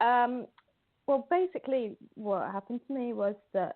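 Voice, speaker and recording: Her pitch is fairly high, and her intonation is lively. The woman speaks with a British accent. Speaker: mental health art advocate. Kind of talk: podcast interview.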